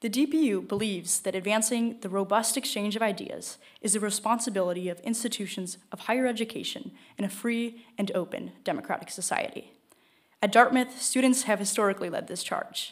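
A woman talks at a fairly quick pace with ordinary pitch variation over a quiet background. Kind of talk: formal event introduction. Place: hall. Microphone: podium.

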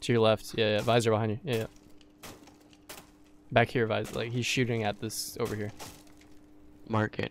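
Pausing long and often, a man of medium pitch speaks at a fairly quick pace with vocal fry. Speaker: gaming streamer. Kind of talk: casual chat. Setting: online voice chat. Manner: animated.

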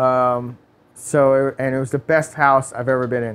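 The speaker has a New York accent and a monotone, flat intonation. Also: man. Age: 30s. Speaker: automotive performance technician. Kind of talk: casual interview. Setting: studio.

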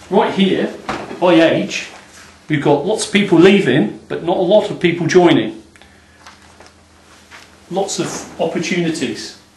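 A man with a high pitch speaks at a fairly slow pace with ordinary pitch variation and long, frequent pauses, over light background noise and audible room echo. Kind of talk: casual explanatory talk. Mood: enthusiastic, upbeat. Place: office. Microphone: camera far.

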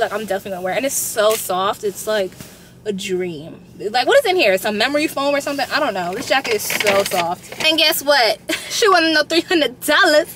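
A woman talks at a fairly quick pace, the sound dry with no echo and noticeable background noise behind her. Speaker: vlogger. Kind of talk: casual vlog chat. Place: car.

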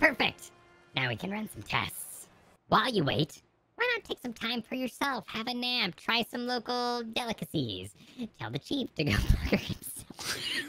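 A female-sounding voice puts on a character. It sits fairly high and moves at a moderate pace. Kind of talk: comic game-dialogue read-along. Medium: game stream. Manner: bossy, impatient, cocky.

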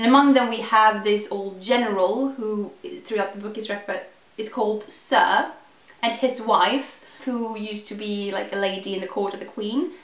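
A woman speaks at a moderate pace in a fairly high pitch, with noticeable background noise behind her. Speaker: book reviewer. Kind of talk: casual book review to camera.

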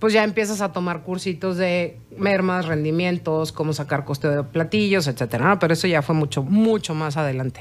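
A woman's fairly low-pitched voice with lively intonation at a moderate pace. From Mexico. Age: 40s. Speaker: chef; interview guest. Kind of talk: interview. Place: studio. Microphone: studio mic.

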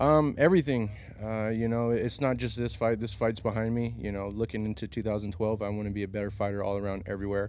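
A man talks at a very fast pace with hardly any pauses, his pitch fairly low and ordinary in variation. The sound is dry with no echo, over light background noise. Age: 30s. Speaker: professional MMA fighter. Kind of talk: post-fight interview. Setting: arena after a fight. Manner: halting, many fillers. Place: hall. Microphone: handheld.

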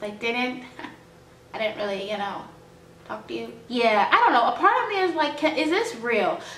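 Loudness swings widely at a moderate pace, with long, frequent pauses and audible room echo. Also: woman, high pitch for a woman. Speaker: vlogger. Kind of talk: casual vlog talking to camera. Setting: home, background noise from housemate and dogs. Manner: informal, rambling, emotional. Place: home room. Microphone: phone near.

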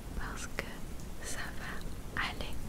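Loud noise in the background competes with a woman's voice. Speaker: ASMR creator. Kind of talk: ASMR positive affirmations. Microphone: studio mic.

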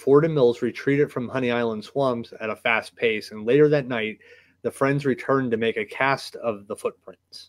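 A plain read-aloud passage, with hushed surroundings

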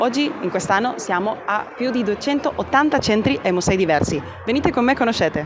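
Through noticeable background noise, a woman speaks at a moderate pace. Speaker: event reporter. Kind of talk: on-camera report. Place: hall.

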